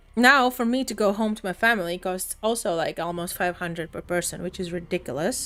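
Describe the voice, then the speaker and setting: On a very clean recording with a silent background, a woman with a bright, sharp tone speaks fairly quickly, her intonation lively. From Latvia. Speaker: live streamer. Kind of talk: casual chat.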